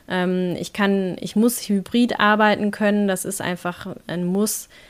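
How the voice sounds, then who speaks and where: Very slowly and in a flat monotone, a woman speaks at a medium pitch. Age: 40s. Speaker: blogger and employed mother. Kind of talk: interview.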